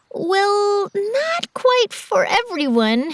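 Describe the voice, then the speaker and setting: A female-sounding, put-on character voice squeaks along at an extremely high pitch. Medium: cartoon.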